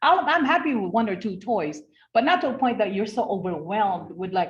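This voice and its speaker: This woman talks at a fairly quick pace and a medium pitch. Her voice is somewhat breathy, with very wide pitch swings. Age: 60s. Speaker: network marketing presenter. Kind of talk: online business presentation. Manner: animated.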